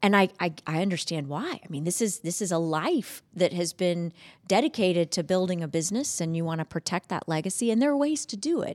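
With an ordinary speaking voice, a woman talks in lively intonation with hardly any pauses, recorded very cleanly against a silent background with a dry, close sound and no echo. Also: fairly low pitch for a woman, fairly quick pace. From Georgia, US (Madison, Morgan County). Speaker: commercial banking executive. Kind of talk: interview. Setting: studio.

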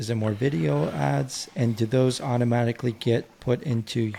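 A somewhat breathy man's voice with a dark, mellow tone. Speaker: podcast co-host, business owner. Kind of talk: podcast interview.

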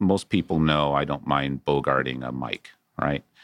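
A man's voice with vocal fry over a quiet background. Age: 50s. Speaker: debt investment company CEO and attorney. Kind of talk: interview. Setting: studio.

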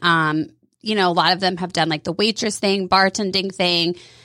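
A bright, sharp voice with an American accent moves at a moderate pace on a very clean recording with a silent background. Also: woman. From Georgia, US South (Woodstock). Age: 30s. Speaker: hair salon owner. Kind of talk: radio interview. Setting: studio.

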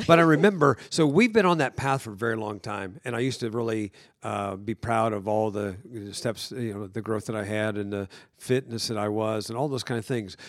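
A man with a medium pitch and ordinary pitch variation speaks at a fairly quick pace. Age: 60s. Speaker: pastor, host's husband. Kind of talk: casual chat. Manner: halting.

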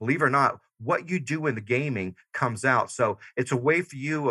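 Lively in intonation, a man with a Southern US accent speaks in a bright, sharp tone. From US South, Georgia. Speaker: army veteran and leadership consultant. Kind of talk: interview. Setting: remote call. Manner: fast-paced; loud.

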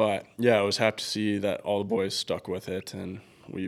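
Over a very clean recording with a silent background, a man speaks at a moderate pace in a fairly low pitch, his intonation monotone and flat. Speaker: pro hockey forward. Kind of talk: casual interview. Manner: relaxed, conversational.

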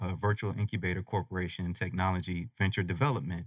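A man with an American accent speaks fairly quickly in a very deep, low pitch with fairly even intonation. The recording is very clean, with a silent background and a dry, close sound with no echo. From Colorado Springs, Colorado. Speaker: chemist and technology venture developer. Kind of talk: radio interview.

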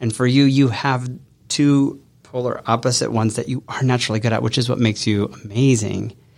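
A man speaks at a fairly quick pace in a monotone, flat intonation. The recording is very clean, with a silent background. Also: medium pitch for a man. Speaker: business coach. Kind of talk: casual interview and live coaching session. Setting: studio.

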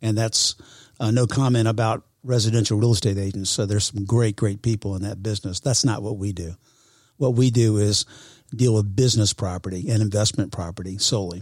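A man's somewhat breathy, fairly low voice at a fairly quick pace, in a very clean recording with a silent background. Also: fairly even intonation. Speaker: real estate professional. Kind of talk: casual interview. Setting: studio.

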